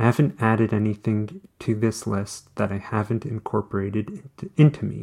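Somewhat breathy and dark, mellow in tone, a man talks at a moderate pace and a fairly low pitch with ordinary pitch variation. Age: 40s. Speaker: blogger and podcaster. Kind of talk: reading own blog post aloud.

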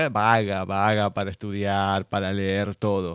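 The man's fairly low voice moves along at a fairly slow pace. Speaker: radio host. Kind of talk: radio interview. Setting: studio.

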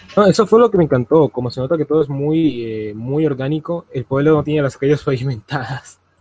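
A man speaks at a fairly quick pace and a fairly high pitch, with hardly any pauses and ordinary pitch variation. His tone is dark, mellow and somewhat breathy, with a dry, close sound and no echo. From Colombia. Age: young. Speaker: youtuber. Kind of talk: casual chat.

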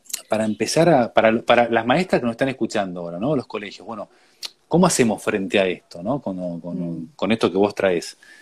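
A man with an ordinary speaking voice, fairly low in pitch, with lively intonation at a fairly quick pace. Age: 40s. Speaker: educator on grief and death. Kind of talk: conversational interview.

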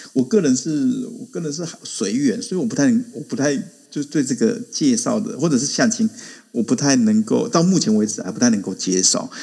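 Speech comes at a fairly quick pace. Its pitch rises and falls very widely. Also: man. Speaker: adjunct assistant professor, Korea commentator. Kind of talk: casual chat. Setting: online audio room.

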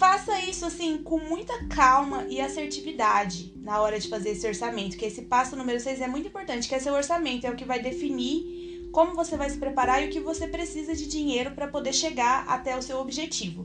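A woman speaks high in pitch with lively intonation and hardly any pauses. Noticeable background noise and audible room echo fill the clip. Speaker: podcast host, exchange-study advisor. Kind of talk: solo podcast tutorial. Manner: slow, deliberate.

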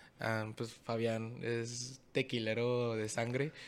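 Pitched in the middle range, a man speaks in a monotone, flat way. The recording is very clean with a silent background. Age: 20s. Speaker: singer-songwriter. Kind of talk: casual chat.

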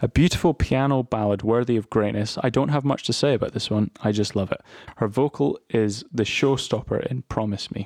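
With a normal speaking voice, a man goes at a fairly quick pace and with ordinary pitch variation, the sound dry and close with no echo. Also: medium pitch for a man. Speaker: podcast host. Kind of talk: casual chat.

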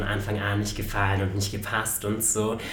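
Amid noticeable background noise and audible room echo, a man speaks at a moderate pace with a fairly low pitch. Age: 20s. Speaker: podcast host. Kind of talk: casual chat.

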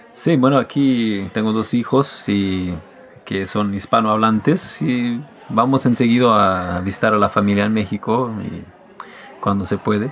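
Music plays in the background as a man speaks at a fairly slow pace. His pitch is fairly low, with ordinary variation. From Quebec and the United States. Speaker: musician. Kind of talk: casual chat.

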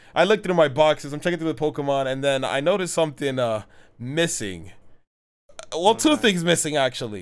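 This man talks at a very fast pace, his fairly high voice carried by lively intonation. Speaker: podcast co-host. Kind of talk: casual chat.

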